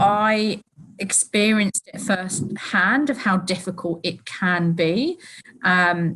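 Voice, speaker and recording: Speaking with a British accent, a woman uses a medium pitch and ordinary pitch variation. Her tone is bright and sharp, and her pace is very slow. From UK. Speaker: company employee. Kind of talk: casual chat.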